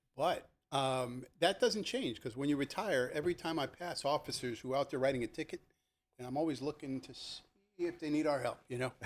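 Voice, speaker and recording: A man with an American accent, fairly high in pitch, at a fairly quick pace with ordinary pitch variation. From New Jersey, Elizabeth. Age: 60s. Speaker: retired police lieutenant. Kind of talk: casual chat. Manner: animated storytelling.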